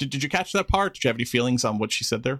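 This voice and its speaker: Bright and sharp in tone, a man speaks at a medium pitch. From Queens, New York. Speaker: podcast host. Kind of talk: casual chat.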